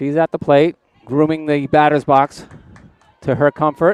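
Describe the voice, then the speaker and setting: A man with fairly high pitch speaks at a fairly slow pace in a dry, close sound with no echo. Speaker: play-by-play sports commentator. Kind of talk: live commentary.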